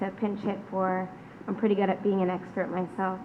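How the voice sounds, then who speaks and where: A woman talks at a very fast pace with monotone, flat intonation. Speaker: nonprofit director. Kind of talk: testimony. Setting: public hearing. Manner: loud.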